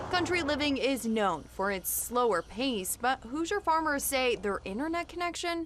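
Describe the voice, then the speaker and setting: A woman with an American accent talks at a fairly slow pace, her pitch swinging very widely. Noticeable background noise runs behind her. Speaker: television news anchor and reporter. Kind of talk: TV news package voiceover and live anchor read.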